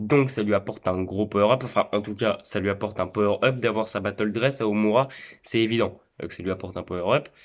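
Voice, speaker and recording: In a very clean recording with a silent background, a man with a fairly low pitch speaks at a fairly quick pace and with fairly even intonation. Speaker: anime YouTuber. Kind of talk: casual monologue. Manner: hesitant, repetitive.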